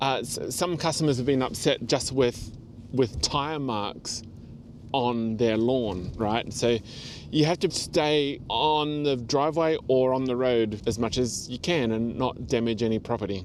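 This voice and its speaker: In an Australian accent, the speech unfolds at a fairly slow pace. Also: man, medium pitch for a man, ordinary pitch variation. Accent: Australian, noticeable twang. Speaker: seasonal delivery driver and vlogger. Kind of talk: casual vlog monologue.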